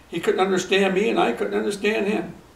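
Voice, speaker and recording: There is audible room echo and noticeable background noise as a man with an American accent speaks in a high voice with lively intonation. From Akron, Ohio, US Midwest. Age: 70s. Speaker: retired teacher and track coach. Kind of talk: interview.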